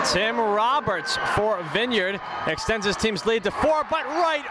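A man uses a raised, projected voice at a fairly slow pace, keeping his loudness very even while his intonation stays lively, with noticeable background noise behind him. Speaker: basketball color commentator. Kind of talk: live sports commentary, analysis between plays.

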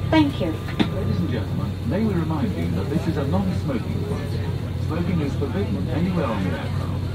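A woman at a fairly quick pace, with ordinary pitch variation and music in the background. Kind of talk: safety announcement. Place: plane.

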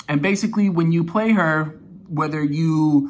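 Fairly even intonation and a moderate pace mark a man's speech. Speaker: card game deck reviewer. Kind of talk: tutorial. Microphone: phone near.

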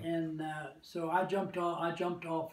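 A man with an American accent speaks at a high pitch and a fairly slow pace amid audible room echo. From United States. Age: 80s+. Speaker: war veteran. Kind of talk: interview answer. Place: home room. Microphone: camera far.

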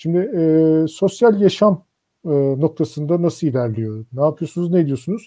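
In a normal speaking voice, a man talks with a fairly high pitch and lively intonation. The background is quiet. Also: moderate pace. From Turkey. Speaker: engineers' association commission chair and moderator; moderator. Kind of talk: online panel discussion. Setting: video call livestream. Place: home room. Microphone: video call.

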